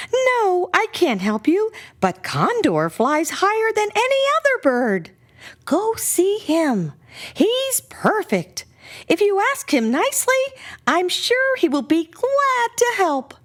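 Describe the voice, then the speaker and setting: A put-on character voice, squeaky and extremely high in pitch, moves at a fairly slow pace. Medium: read story.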